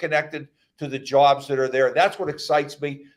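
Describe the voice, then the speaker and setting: This man has a normal speaking voice with a fairly high pitch. He talks at a moderate pace. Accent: American. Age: 60s. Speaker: county executive, politician. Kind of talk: radio interview.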